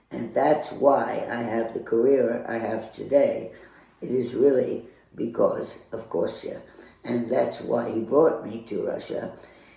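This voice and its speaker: In a room with audible echo and noticeable background noise, a man talks at a fairly slow pace. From Switzerland and France. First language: French. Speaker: writer. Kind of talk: conference talk. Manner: halting.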